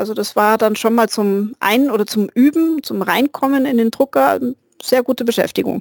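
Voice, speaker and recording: At a moderate pace, a woman with a normal speaking voice talks at a fairly high pitch with ordinary pitch variation, the sound dry and close with no echo. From Bavarian Swabia, near Augsburg. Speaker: hobbyist. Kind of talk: casual chat.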